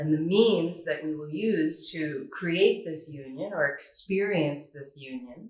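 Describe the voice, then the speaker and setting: A woman speaks with a very deep, low pitch in a Northern California accent. Her pace is very slow. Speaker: yoga teacher. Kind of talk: tutorial.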